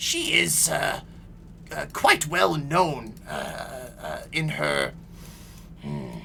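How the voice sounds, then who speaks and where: A man puts on a pompous character voice at a very slow pace, with long, frequent pauses. Background noise is clearly heard. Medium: actual play. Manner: loud, rambling, pompous.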